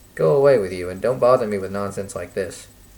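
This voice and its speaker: Putting on a gruff character voice, a man speaks very fast at a fairly low pitch with ordinary pitch variation and big swings in loudness. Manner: dismissive, curt.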